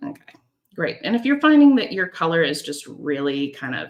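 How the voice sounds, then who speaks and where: A woman's intonation is lively as she speaks at a moderate speed. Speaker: watercolor painting instructor. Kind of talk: tutorial. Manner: casual, chatty.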